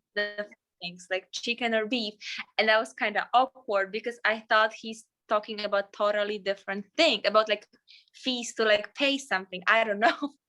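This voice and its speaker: Bright and sharp in tone, this woman's voice has a fairly high pitch. Her intonation is fairly even. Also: moderate pace. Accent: non-native. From Poland. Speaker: flight attendant. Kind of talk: casual chat.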